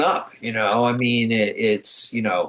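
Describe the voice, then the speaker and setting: A man talks at a moderate pace and medium pitch in a normal speaking voice. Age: 60s. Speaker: comic book and animation writer. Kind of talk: casual interview chat.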